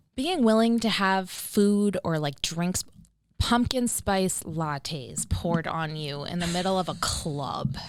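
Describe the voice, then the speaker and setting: The intonation is lively while the pace stays very slow. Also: woman, fairly low pitch for a woman. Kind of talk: casual podcast conversation.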